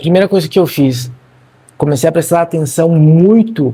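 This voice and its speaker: A man speaks in a dark, mellow tone that is somewhat breathy, with ordinary pitch variation. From Argentina. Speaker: marketing content creator. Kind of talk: personal vlog monologue. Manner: casual, conversational.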